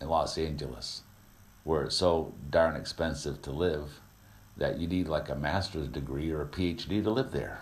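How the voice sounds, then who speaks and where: Speaking at a fairly slow pace, a man with a very deep, low pitch and vocal fry shows ordinary pitch variation amid audible room echo. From Vermont. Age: 50s. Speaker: radio host. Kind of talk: talk radio monologue. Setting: studio.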